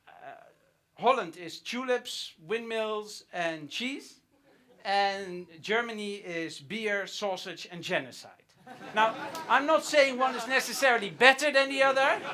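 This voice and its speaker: A man's raised, projected voice, high in pitch, with lively intonation, big swings in loudness, and a fairly slow pace. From Netherlands. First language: Dutch. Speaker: comedian. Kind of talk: stand-up.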